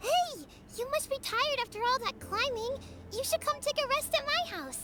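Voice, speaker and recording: A put-on character voice at an extremely high pitch speaks at a moderate pace over loud background noise. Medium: video game. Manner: friendly.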